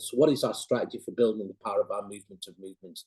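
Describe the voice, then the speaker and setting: Recorded with a dry, close sound and no echo, a man speaks at a very fast pace. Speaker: NGO campaigner. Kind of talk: seminar presentation.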